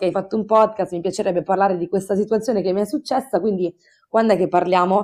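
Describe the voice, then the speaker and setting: A woman with an unremarkable speaking voice talks at a fairly quick pace with fairly even intonation, on a very clean recording with a silent background. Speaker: podcast author guest. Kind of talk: casual chat.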